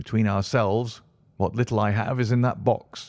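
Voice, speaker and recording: A man puts on a shaky character voice. He keeps his intonation fairly even at a moderate pace. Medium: read story. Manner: nervous, jittery.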